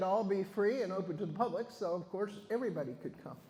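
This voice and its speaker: A man's high-pitched voice with ordinary pitch variation, audible room echo and noticeable background noise. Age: 70s. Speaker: butterfly educator giving a talk. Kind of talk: talk and Q&A at a club meeting. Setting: meeting hall with audience. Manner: casual, conversational with fillers.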